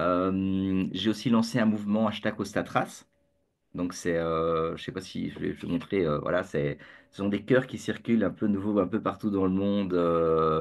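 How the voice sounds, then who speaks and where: In a Belgian accent, a man talks at a fairly slow pace in a fairly low pitch with ordinary pitch variation, against a quiet background. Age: 50s. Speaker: entrepreneur, community founder. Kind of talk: interview. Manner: halting, many fillers and repetitions; joyful, jokey.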